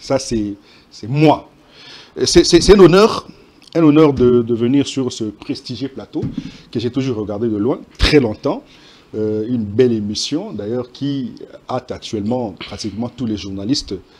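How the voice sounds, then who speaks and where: A man with a Congolese accent, big swings in loudness, ordinary pitch variation, and long, frequent pauses. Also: medium pitch for a man, fairly slow pace. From DR Congo, Sankuru. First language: Tetela (speaking French). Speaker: journalist. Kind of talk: TV panel debate.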